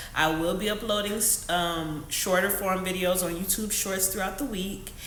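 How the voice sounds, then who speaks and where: The speaker has an animated tone and a moderate pace. Background noise and room echo are both noticeable. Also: woman. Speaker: lifestyle vlogger. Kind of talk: casual vlog monologue. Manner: loud.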